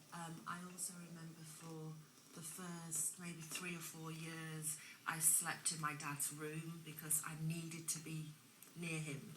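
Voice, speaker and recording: A woman's fairly low, monotone voice with flat intonation at a fairly slow pace, with audible room echo and noticeable background noise. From England (raised from age five, born abroad). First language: not English (learned English at school). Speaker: former drug addict interviewed on TV. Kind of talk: TV interview, personal testimony. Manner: hesitant, many fillers.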